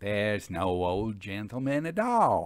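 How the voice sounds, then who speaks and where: A man puts on a drawling character voice at a fairly low pitch with lively intonation. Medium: read story. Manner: drawling, cool.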